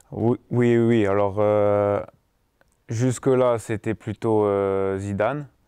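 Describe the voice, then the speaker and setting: A man's fairly low, dark, mellow voice at a very slow pace, with fairly even intonation and very even loudness against a quiet background. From southwest France, Tarbes; southwest France. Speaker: professional footballer; interviewee. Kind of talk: casual interview. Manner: hesitant, many fillers. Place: home room. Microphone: lapel.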